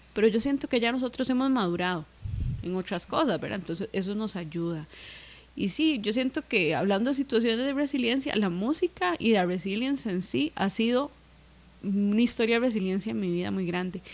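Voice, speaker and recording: An unremarkable speaking voice, this woman's is fairly high in pitch and moves at a fairly quick pace. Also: lively intonation. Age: 20s. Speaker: musician. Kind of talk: casual chat.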